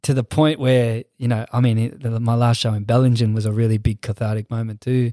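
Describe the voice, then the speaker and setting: The speaker has an Australian accent and a dark, mellow tone, with monotone, flat intonation at a fairly quick pace with hardly any pauses. The recording is very clean with a silent background and a dry, close sound with no echo. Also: man, medium pitch for a man. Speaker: dancer and hip hop musician. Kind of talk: casual interview chat. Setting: studio.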